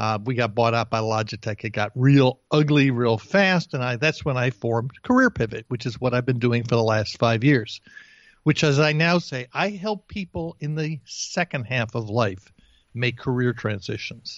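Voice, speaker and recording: This is a normal speaking voice from a man with an American accent, medium in pitch and lively in intonation. He goes at a moderate pace, and the sound is dry and close with no echo against a quiet background. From New Jersey. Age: 60s. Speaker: career coach. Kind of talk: interview.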